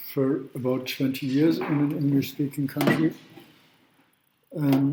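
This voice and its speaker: With long, frequent pauses, a man speaks in a fairly high pitch. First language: not English. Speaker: law professor. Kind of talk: lecture. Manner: halting.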